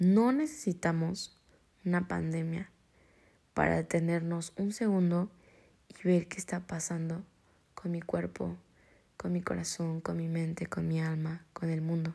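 A woman's fairly low, dark, mellow, somewhat breathy voice, monotone and flat, at a fairly slow pace with long, frequent pauses. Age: 20s. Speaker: podcast host. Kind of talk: personal monologue.

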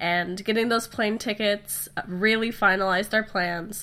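A woman with a medium pitch and a nasal, fairly bright tone speaks at a fairly slow pace.

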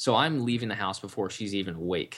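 With an American accent, a man with a fairly low pitch and an unremarkable speaking voice talks fairly quickly on a very clean recording with a silent background. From Washington DC area, US East Coast. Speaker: online marketing entrepreneur. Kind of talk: interview.

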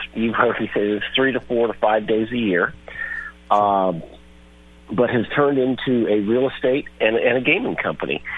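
A man speaks at a medium pitch and a moderate pace with ordinary pitch variation. Noticeable background noise runs underneath. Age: 60s. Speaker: sports journalist. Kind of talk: radio interview.

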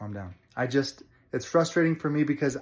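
A man talks at a moderate speed, captured in a very clean recording over a silent background. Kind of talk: angry rant. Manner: exasperated, fired-up, emphatic; blunt, impatient, then sighing and winding down.

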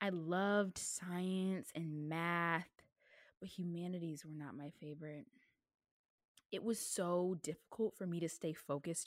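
A woman with an American accent and an ordinary speaking voice, ordinary pitch variation, a fairly slow pace, and a very clean recording with a silent background. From US South. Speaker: podcast host and college student. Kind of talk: reading a speech aloud; casual monologue.

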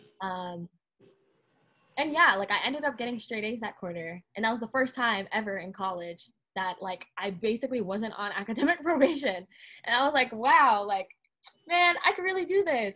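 A woman with an American accent, bright and sharp in tone, fairly high in pitch, with very wide pitch swings at a moderate pace. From Southern California. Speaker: college student. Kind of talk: casual chat.

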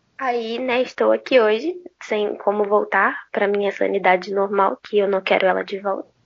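A woman speaks at a moderate pace in a normal speaking voice, her pitch sitting in the medium range. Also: ordinary pitch variation. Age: young. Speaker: podcast co-host. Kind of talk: casual chat.

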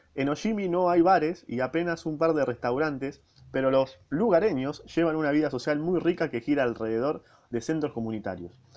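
The speaker has a Rioplatense accent. The intonation is lively. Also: man, fairly high pitch for a man, fairly quick pace. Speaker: podcaster reading a book. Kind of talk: reading aloud with casual commentary. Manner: casual.

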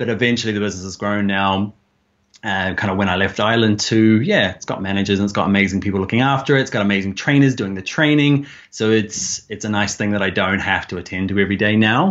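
A man with a New Zealand accent talks very fast at a fairly low pitch. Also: ordinary pitch variation. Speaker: online course creator and design instructor. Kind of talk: interview. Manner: halting.

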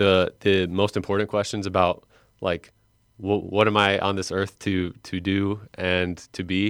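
In a very clean recording with a silent background, a man with an American accent uses a normal speaking voice, fairly low in pitch, at a fairly slow pace. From Lake County, Illinois. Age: 20s. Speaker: seminarian. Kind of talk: radio interview.

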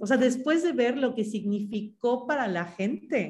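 A woman with a plain, everyday voice at a fairly quick pace, her intonation lively. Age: 30s. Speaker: graphic designer and social project co-founder. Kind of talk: interview conversation.

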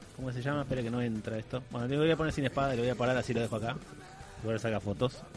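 With a Rioplatense accent, a man talks at a very fast pace, keeping a medium pitch and fairly even intonation. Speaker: podcast host. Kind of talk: casual chat.

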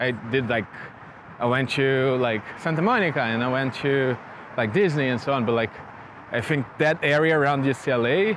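Noticeable background noise sits behind a man with a Portuguese accent speaking at a moderate pace and a medium pitch. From Brazil, Rio de Janeiro. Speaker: tech researcher. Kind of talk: interview. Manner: halting, repeats words.

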